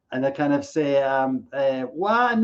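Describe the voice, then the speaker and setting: This man speaks at a fairly high pitch, with ordinary pitch variation. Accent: Irish. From Ireland. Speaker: keynote speaker. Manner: jokey, storytelling.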